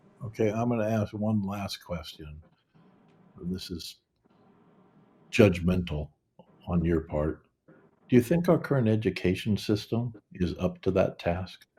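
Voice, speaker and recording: Music plays behind a man with a fairly low pitch and ordinary pitch variation. He speaks fairly slowly, with long, frequent pauses. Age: 70s. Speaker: podcast host. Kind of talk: interview conversation.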